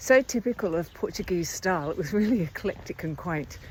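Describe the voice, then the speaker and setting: At a moderate pace, a woman speaks at medium pitch. She has a plain, everyday voice. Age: 60s. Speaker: pilgrim hiker. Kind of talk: casual travel vlog talk to camera. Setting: outdoors.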